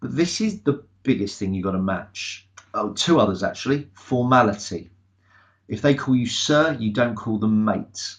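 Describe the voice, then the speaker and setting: A man speaks with an English accent at a medium pitch. His voice shows ordinary pitch variation. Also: moderate pace. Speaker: sales trainer. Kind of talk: webinar presentation. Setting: online webinar. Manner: loud.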